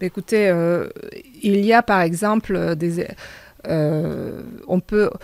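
A woman speaks in a fairly low voice with fairly even intonation, the sound dry with no echo and the background quiet. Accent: Hungarian. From Hungary. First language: Hungarian (speaking French). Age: 40s. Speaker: local election candidate; election candidate. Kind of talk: radio interview. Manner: halting, many hesitations. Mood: earnest, calm. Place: studio. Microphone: studio mic.

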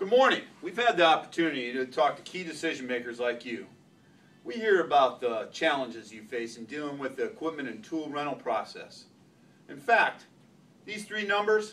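Very wide pitch swings, big swings in loudness and a moderate pace. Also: man. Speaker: presenter. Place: meeting room. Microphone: camera far.

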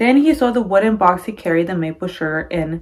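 The intonation of this woman is lively. She keeps a moderate pace. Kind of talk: read-aloud storytelling. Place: home room. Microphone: phone near.

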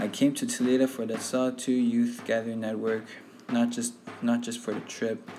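With noticeable background noise, a man talks at a moderate pace in a monotone with flat intonation. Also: medium pitch for a man. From Sahtú region, Northwest Territories, Canada (Dene community). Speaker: youth workshop participant. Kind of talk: personal digital story narration.

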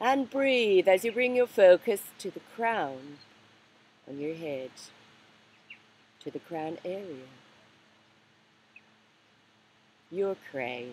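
A woman speaks very slowly, with very wide pitch swings and long, frequent pauses. The sound is dry with no echo, over light background noise. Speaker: meditation guide. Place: garden. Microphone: webcam.

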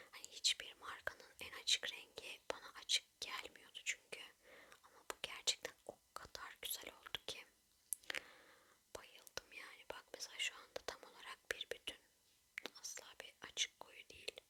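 Whispering in a gentle tone at a fairly slow pace, a woman's loudness swings widely over noticeable background noise. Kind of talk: ASMR makeup tutorial, whispered narration to camera. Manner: whispered, soft-spoken, gentle.

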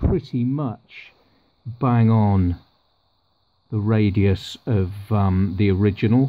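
Vocal fry in a man's speech.

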